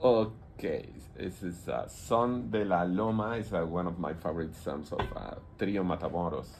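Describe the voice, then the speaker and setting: In a room with audible echo and noticeable background noise, a man with a Mexican accent and a very deep, low pitch talks at a moderate pace with ordinary pitch variation. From Mexico, Yucatan peninsula. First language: Spanish. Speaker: visual artist. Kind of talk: radio interview. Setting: radio studio. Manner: halting. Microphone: too far from the mic.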